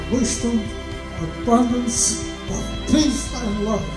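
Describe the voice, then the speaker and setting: A man speaks at a very slow pace. Noticeable background noise can be heard behind him. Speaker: grandfather of the bride. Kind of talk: wedding speech. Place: tent.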